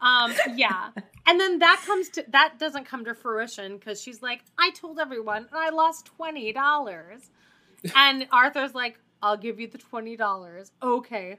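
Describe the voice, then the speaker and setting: Speaking with a Canadian accent in a raised, projected voice, a woman talks at a moderate pace and high pitch, her bright, sharp tone carrying lively intonation and big swings in loudness. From Canada. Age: 30s. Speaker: teacher. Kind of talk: casual chat.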